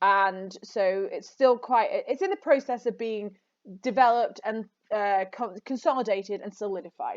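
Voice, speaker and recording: A plain, everyday voice from a woman, fairly high in pitch, with ordinary pitch variation, big swings in loudness and a moderate pace against a quiet background. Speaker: English teacher. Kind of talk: lecture.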